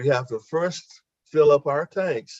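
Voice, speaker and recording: A man speaks at a fairly slow pace. His voice is fairly high and somewhat breathy. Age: 70s. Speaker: barber, webinar participant. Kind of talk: testimony.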